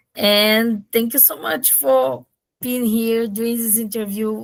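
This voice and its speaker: This woman talks at a very slow pace. Her pitch is fairly high, with ordinary variation. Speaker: interviewer. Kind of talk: interview.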